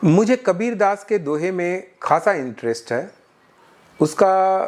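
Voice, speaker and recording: A man's high-pitched voice with lively intonation, very cleanly recorded against a silent background. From Jamshedpur, Jharkhand (Bihari family). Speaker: IT delivery operations manager. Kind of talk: interview answer.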